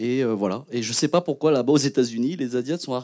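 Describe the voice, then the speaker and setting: A man speaks with fairly even intonation. The background is quiet. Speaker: actor and co-director; actor. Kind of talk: panel talk. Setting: stage with audience. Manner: casual. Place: hall. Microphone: handheld.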